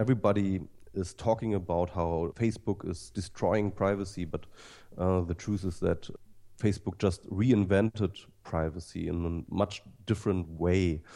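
In a German accent, a man speaks at a moderate pace with a very deep, low pitch and fairly even intonation. His tone is dark and mellow, against a quiet background. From Germany. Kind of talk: interview. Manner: halting.

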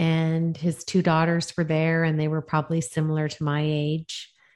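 At a moderate pace, a woman speaks with very deep, low pitch and monotone, flat intonation in a very clean recording with a silent background. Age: 50s. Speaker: executive coach. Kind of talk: interview.

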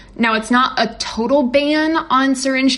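Noticeable background noise runs under the speech. The speaker has an American accent. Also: woman. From West Virginia, US. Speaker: journalist. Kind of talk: interview. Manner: halting, many fillers and repeats.

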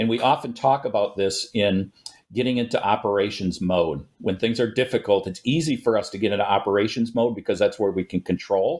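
A man with an American accent uses a normal speaking voice at medium pitch, with ordinary pitch variation and a moderate pace. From Minneapolis-St. Paul and northern Wisconsin. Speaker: police chief, trauma expert. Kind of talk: interview.

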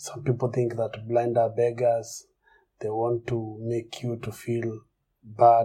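A man's very slow, somewhat breathy voice in a Kenyan accent, medium in pitch with a dark, mellow tone, monotone and flat in intonation, with big swings in loudness. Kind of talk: personal testimony.

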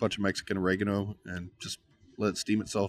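In a very clean recording with a silent background, a man with a Texan accent speaks at a fairly low pitch, very fast and in a monotone, flat delivery. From Texas, Uvalde. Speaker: pitmaster. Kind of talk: casual chat. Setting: on location at his barbecue trailer.

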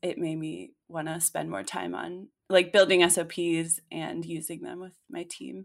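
A woman talks at a moderate pace in an unremarkable speaking voice. Her pitch is fairly low, with ordinary variation. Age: 20s. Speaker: copywriter. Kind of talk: casual chat.

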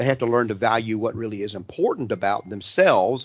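Here a man with an ordinary speaking voice talks at medium pitch with ordinary pitch variation. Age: 60s. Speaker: radio host and Bible teacher. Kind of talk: live call-in religious talk show. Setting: radio studio broadcast from a church.

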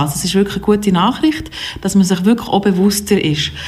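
A woman with medium pitch talks over noticeable background noise. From Switzerland, Biel. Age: 40s. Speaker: film festival director. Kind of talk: interview. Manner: hesitant, many fillers.

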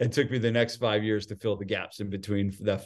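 A man's fairly low-pitched voice with a New Jersey accent, monotone and flat in intonation. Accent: New Jersey American. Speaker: gym owner and fitness business coach. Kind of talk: casual interview chat.

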